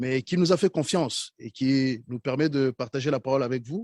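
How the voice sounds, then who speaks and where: A man with a Rwandan accent and a fairly high pitch speaks at a fairly slow pace in a dry, close, echo-free recording that is very clean, with a silent background. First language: Kinyarwanda (speaking French). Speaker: preacher. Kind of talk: sermon.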